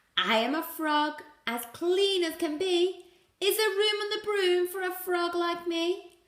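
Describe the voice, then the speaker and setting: A woman puts on a character voice at an extremely high pitch, speaking fairly slowly. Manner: polite.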